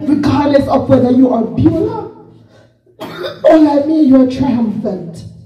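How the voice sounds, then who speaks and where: A woman's high voice with lively intonation, a fairly slow pace, long, frequent pauses and audible room echo. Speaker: visiting preacher. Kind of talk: sermon.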